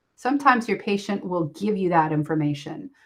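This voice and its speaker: A woman's voice, fairly low in pitch. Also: quiet background. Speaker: physical therapist assistant instructor. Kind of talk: lecture. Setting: pre-recorded lecture. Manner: animated; frequent ums and fillers.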